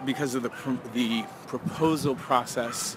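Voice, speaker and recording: Loud background noise behind a man's voice, the sound dry and echo-free. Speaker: sex educator vlogger. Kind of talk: casual vlog chat. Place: street. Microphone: phone near.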